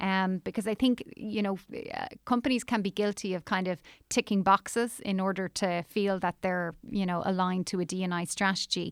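A woman with an Irish accent speaks at a moderate pace, her pitch medium and her intonation fairly even. The sound is dry and close with no echo, and the recording is very clean against a silent background. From Ireland. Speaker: recruitment industry executive. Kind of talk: interview.

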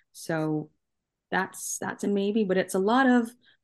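In a Canadian accent, a woman speaks at a fairly slow pace against a quiet background. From Canada. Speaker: soccer journalist. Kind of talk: interview.

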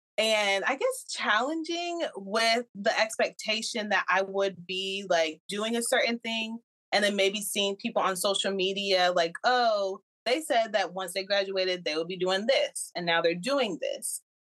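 At a fairly slow pace, a woman with an American accent speaks in an unremarkable speaking voice, medium in pitch, with lively intonation. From New Jersey. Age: 20s. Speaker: small business owner. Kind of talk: casual interview.

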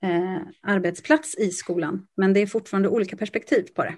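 A woman speaks with ordinary pitch variation. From western Sweden, Lysekil. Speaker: theatre dramaturg. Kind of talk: interview conversation.

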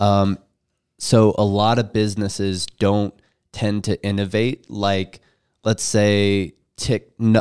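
A man's fairly low, monotone, flat voice, with a dry, close sound and no echo, on a very clean recording with a silent background. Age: 20s. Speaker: podcast co-host. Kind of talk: casual podcast interview.

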